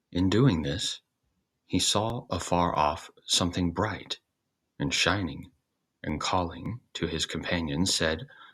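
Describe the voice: A man's low-pitched, slow voice, fairly bright in tone with a slightly husky edge and ordinary pitch variation.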